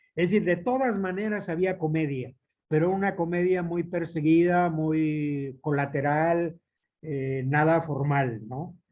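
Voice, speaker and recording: A man with a fairly high pitch speaks at a fairly slow pace in a plain, everyday voice with ordinary pitch variation. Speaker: playwright and theatre director. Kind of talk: lecture.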